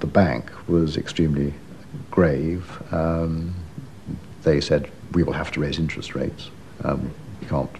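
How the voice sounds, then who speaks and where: A man speaks at a moderate pace in a very deep, low, monotone voice with flat intonation. Long, frequent pauses break up his speech over noticeable background noise. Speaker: former Treasury official interviewed. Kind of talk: reflective documentary interview.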